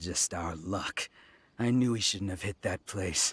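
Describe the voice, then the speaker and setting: A man growls in a put-on character voice with a very deep, low pitch, at a fairly slow pace. The recording is very clean with a silent background and a dry, close sound with no echo. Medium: video game. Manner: cocky, swaggering.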